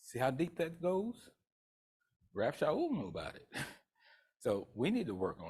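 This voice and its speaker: An animated, somewhat breathy man in a Southern US accent, lively intonation and a moderate pace. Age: 70s. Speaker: pastor. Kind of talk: sermon.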